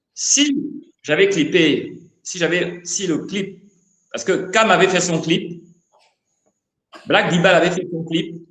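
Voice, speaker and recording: A man with a high voice and ordinary pitch variation talks at a very slow pace. He leaves long, frequent pauses, and the room echo is audible. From Gabon, Libreville. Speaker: rapper. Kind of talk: interview. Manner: halting, repeats words.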